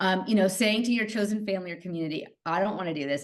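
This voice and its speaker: Loud and at a medium pitch, a woman's voice swings very widely in pitch. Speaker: psychotherapist and nurse. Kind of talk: interview conversation.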